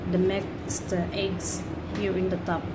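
Loud noise fills the background. Through it, a woman talks. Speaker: home cook vlogger. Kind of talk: tutorial. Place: kitchen.

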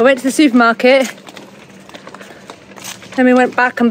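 A woman is heard here. The sound is dry with no echo, over light background noise. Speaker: sailing family vlogger. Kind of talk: casual vlog chat. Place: street. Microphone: phone near.

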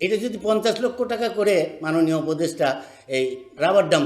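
With an animated tone and lively intonation, a man talks in a high voice as room echo is audible around him. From Bangladesh, Sunamganj haor region. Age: 70s. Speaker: activist. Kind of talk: public speech. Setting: conference hall with audience.

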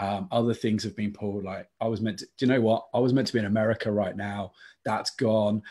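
Against a quiet background, a man with a Lancashire accent talks at a very fast pace, his fairly low voice dark and mellow in tone, with monotone, flat intonation. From northern England. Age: 30s. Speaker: diocesan youth adviser; youth team host. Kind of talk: casual chat. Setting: video call. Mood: warm, reflective. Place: home room.

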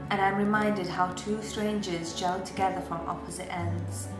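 A woman speaks at a fairly slow pace as clear music plays behind her. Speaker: spoken word poet. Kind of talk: poetry reading. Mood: emotional, reflective, hurt. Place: home room. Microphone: webcam.

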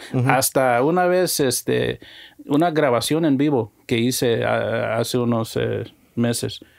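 At a very slow pace, the speech keeps very even loudness and ordinary pitch variation against a quiet background. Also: man, medium pitch for a man. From Mexico-born, raised in the US. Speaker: musician and music producer; guest. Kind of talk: casual interview chat. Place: studio. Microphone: studio mic.

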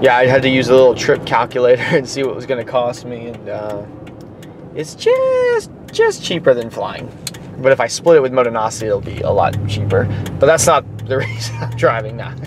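Fairly quick and fairly even in intonation, a man's voice comes through a dry sound with no echo. Noticeable background noise runs underneath. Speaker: vlogger driving. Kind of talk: casual vlog chat. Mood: reflective, slightly resigned. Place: car. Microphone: phone near.

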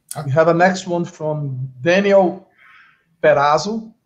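Man with a Portuguese accent, fairly slow pace, ordinary pitch variation. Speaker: conference moderator. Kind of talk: formal introduction; conference moderation. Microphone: video call.

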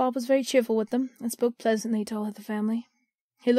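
Fairly even intonation in an unforced reading voice, with a quiet background

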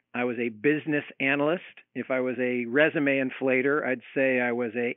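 This man speaks with an American accent at a medium pitch, keeping his intonation fairly even. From US West Coast, Seattle. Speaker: investment firm CEO. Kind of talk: interview. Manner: talkative, long answers.

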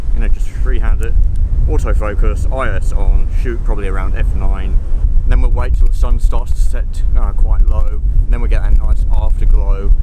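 A man at a fairly quick pace, dry sound with no echo, loud background noise behind him. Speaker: photographer vlogger. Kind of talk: casual vlog chat. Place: beach. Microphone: phone near.

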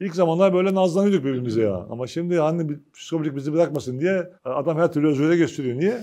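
Against a quiet background, a man with a dark, mellow tone talks at a very fast pace with hardly any pauses, very wide pitch swings and big swings in loudness. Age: 50s. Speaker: agricultural cooperative union chairman. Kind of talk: press conference speech. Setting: meeting with press at company facilities. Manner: informal, conversational. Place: meeting room. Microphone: lapel.

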